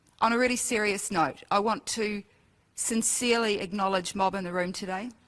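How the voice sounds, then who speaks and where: On a very clean recording with a silent background, a woman with an Australian accent speaks at medium pitch. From Australia, Ipswich Queensland. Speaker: event emcee and educator. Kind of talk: closing remarks at public forum. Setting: auditorium with audience.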